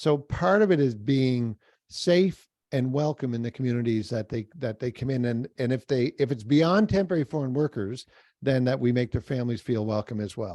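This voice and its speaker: Heard dry and close with no echo, a man with a medium-pitched, dark and mellow voice talks at a moderate pace with lively intonation. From Atlantic Canada. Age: 60s. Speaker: workforce speaker. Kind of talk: webinar talk.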